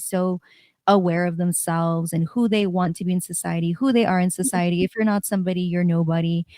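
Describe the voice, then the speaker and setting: A woman with a fairly low pitch talks at a fairly quick pace in an unremarkable speaking voice, with fairly even intonation. The recording is very clean, with a silent background and a dry, close sound with no echo. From San Diego, California. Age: 30s. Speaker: DJ. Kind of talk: casual chat.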